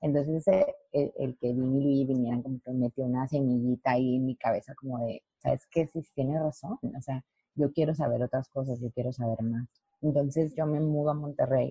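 A very deep, low, somewhat breathy woman's voice at a moderate pace, with fairly even intonation. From Mexico, Lerdo, Durango. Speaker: professional dancer and dance teacher. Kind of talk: interview.

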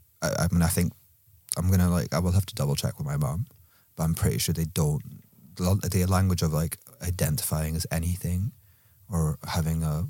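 The voice has a dark, mellow tone and ordinary pitch variation, at a fairly quick pace. The recording is very clean, with a silent background. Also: man. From Scotland. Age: 30s. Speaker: collective member, podcast guest. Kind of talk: casual chat.

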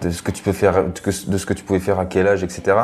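The man's very deep, low voice rushes along at a very fast pace amid noticeable background noise. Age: 20s. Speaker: triathlete and social media influencer. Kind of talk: casual interview.

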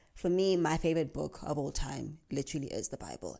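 With vocal fry, a woman's very deep, low voice carries a dark, mellow tone. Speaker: podcast host. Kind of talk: casual monologue. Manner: fast.

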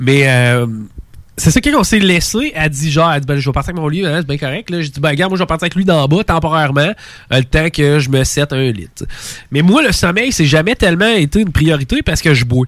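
Delivered at a fairly quick pace with an animated tone, the speech carries a Quebec accent and ordinary pitch variation. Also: man, fairly high pitch for a man. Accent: Québécois French. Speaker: podcast host. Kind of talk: casual chat. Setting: studio.

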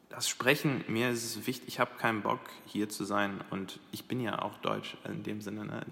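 A man speaks very slowly in a fairly low voice. His pitch varies in an ordinary way. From Dubai, then Krefeld, Germany from age 15. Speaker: digital industry professional. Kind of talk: casual chat. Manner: hesitant, many fillers.

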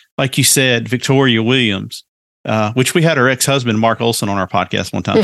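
A man with a Southern US accent, dry and close with no echo, against a quiet background. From US South. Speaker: podcast host guest. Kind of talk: casual chat.

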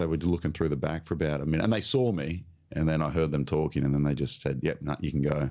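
A man with an Australian accent, a very deep, low pitch, fairly even intonation and a fairly quick pace. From Australia, Queensland (Sunshine Coast). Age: 30s. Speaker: comedian and teacher. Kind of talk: casual chat.

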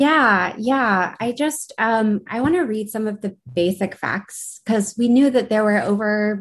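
With an American accent and an ordinary speaking voice, a woman talks at a fairly slow pace in a fairly high pitch with ordinary pitch variation against a quiet background. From Uintah and Ouray Reservation, Utah (Northern Ute). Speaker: graduate student, podcast co-host. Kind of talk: panel discussion.

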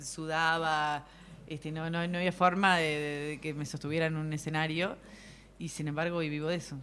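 A woman speaks with a Uruguayan accent at a fairly quick pace. Her pitch is very deep and low. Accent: Uruguayan Rioplatense Spanish. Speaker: comedian and performer. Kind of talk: casual chat. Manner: animated.

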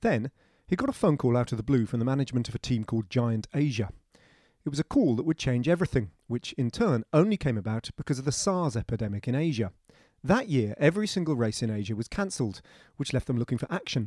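A man at medium pitch with a dark, mellow tone and lively intonation, talking at a very fast pace in a dry, close sound with no echo, very clean with a silent background. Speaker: audiobook narrator reading a cycling feature. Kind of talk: literary audiobook reading, written long-form journalism read aloud. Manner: measured, steady, storytelling pace; wry, dry-humoured, conversational in tone.

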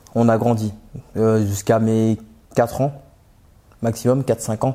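Monotone and flat in intonation, a man speaks at medium pitch with a dark, mellow tone. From Paris suburbs (Aubervilliers, Seine-Saint-Denis). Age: 30s. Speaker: aircraft mechanic, former bus driver. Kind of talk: interview testimony. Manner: halting, many fillers and repetitions.

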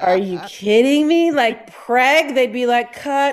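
A woman with an American accent speaks at a fairly slow pace. Her pitch is high, and there is noticeable background noise. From Detroit area (Downriver), Michigan. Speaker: comedian, performer. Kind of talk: casual chat.

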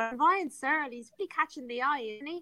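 In an Irish accent, a woman speaks at a fairly quick pace with a bright, sharp tone, and the sound is dry and close with no echo. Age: 30s. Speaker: sports presenter. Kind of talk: casual chat.

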